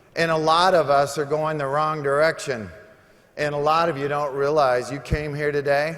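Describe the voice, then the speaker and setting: A fairly high-pitched man amid noticeable background noise. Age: 60s. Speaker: motivational speaker. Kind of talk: motivational speech. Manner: animated.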